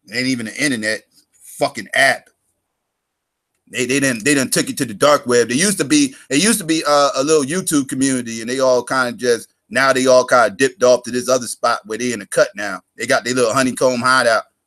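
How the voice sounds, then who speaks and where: A man talks loudly at a very fast pace in a bright, sharp tone. His pitch sits at a medium level with ordinary pitch variation. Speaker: live stream host. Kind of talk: casual chat. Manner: animated.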